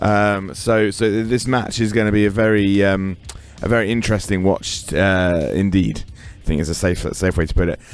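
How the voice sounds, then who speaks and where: This man's voice sits fairly low and his intonation stays fairly even. He speaks at a moderate pace, with noticeable background noise behind him. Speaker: podcast host and wrestling commentator. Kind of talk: podcast sign-off. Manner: halting, many fillers.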